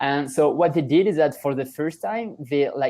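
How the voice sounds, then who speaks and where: Moderately paced speech comes from a man with a French accent and a fairly high pitch. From France. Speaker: startup founder. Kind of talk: podcast interview. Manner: halting, many fillers and restarts.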